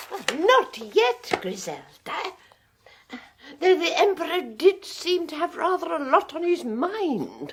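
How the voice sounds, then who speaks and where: A woman does a put-on character voice at an extremely high pitch and a fairly slow pace. Her loudness swings widely. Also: lively intonation. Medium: old radio play. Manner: genteel, soft, gushing.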